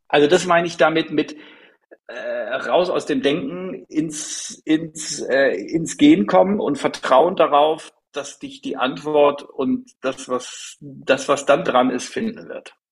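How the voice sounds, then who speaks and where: At a very slow pace, the voice moves through big swings in loudness. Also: man. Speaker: future vision coach. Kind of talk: interview conversation.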